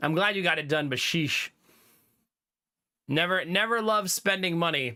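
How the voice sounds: With a bright, sharp tone, a man speaks fairly high at a moderate pace with ordinary pitch variation, in a very clean recording with a silent background.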